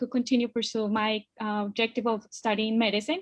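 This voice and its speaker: A woman with a Spanish accent at a fairly high pitch and fairly quick pace, in a dry, close sound with no echo and a quiet background. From Colombia. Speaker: immigrant guest speaker. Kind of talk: personal testimony in a panel webinar.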